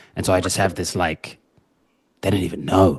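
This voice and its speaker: Dry, close sound with no echo and music in the background. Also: man. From New Zealand. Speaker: dating coach. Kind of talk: podcast interview.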